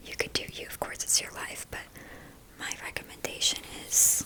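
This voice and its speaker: A woman whispers in a gentle tone at a fairly slow pace. Noticeable background noise is present. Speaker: spiritual reader, healer and teacher. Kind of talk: ASMR talk therapy session, whispered spiritual talk. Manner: soft-spoken, gentle, rambling, comforting.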